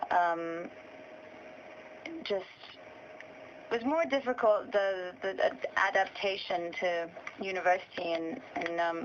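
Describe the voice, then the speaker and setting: The speech moves at a very slow pace with long, frequent pauses and ordinary pitch variation over noticeable background noise. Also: woman, medium pitch for a woman. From Portugal. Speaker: singer-songwriter. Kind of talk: interview.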